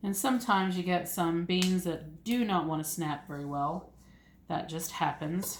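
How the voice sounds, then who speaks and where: Somewhat breathy and fairly low in pitch, a woman speaks in an American accent with audible room echo. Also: ordinary pitch variation, moderate pace. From US South, east Tennessee (Appalachia). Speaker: homesteading YouTuber. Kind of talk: ASMR casual monologue. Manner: soft-spoken.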